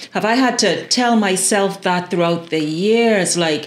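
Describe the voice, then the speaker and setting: Over noticeable background noise and audible room echo, a woman speaks at a medium pitch with ordinary pitch variation. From Bahamas. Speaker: broadcaster. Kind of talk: podcast interview.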